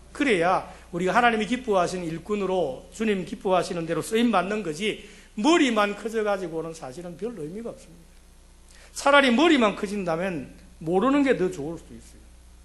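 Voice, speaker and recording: A man's high-pitched voice with lively intonation and audible room echo. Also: big swings in loudness. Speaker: pastor. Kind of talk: sermon. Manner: fast.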